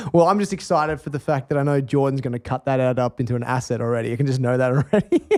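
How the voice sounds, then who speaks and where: A man talks very fast in an Australian accent, with hardly any pauses. His pitch is medium with ordinary variation, and the sound is dry and close with no echo. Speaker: chef and nutrition author. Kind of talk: podcast interview conversation. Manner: animated.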